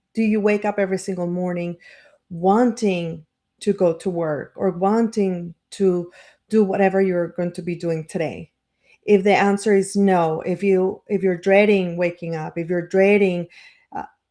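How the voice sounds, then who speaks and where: A woman with a non-native accent, medium pitch and a dark, mellow tone, speaking at a moderate pace in a flat monotone, on a very clean recording with a silent background. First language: not English. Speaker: life coach and marketer. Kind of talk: motivational live stream talk. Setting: live stream. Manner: halting, many fillers and restarts.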